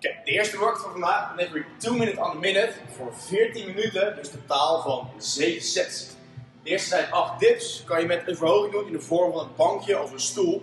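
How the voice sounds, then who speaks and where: A man speaks fairly quickly at a high pitch, with ordinary pitch variation. Audible room echo and faint background music surround his voice. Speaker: fitness coach. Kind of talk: tutorial. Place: gym. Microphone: camera far.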